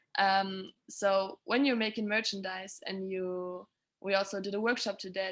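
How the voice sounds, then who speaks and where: With a German accent, a woman speaks at medium pitch and a moderate pace in a monotone, flat intonation. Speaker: sustainability consultant for music touring. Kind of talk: webinar presentation. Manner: halting, many fillers.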